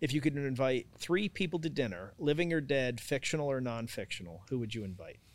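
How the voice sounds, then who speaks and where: With lively intonation and hardly any pauses, a man speaks at a fairly quick pace and a medium pitch. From Italy and Boston area. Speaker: podcast host. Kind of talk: casual interview. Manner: animated, laughing often.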